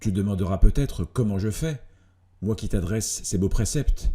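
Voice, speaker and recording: A man speaks at a fairly low pitch and fairly slow pace, with ordinary pitch variation. His tone is dark and mellow and somewhat breathy. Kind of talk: philosophical letter reading.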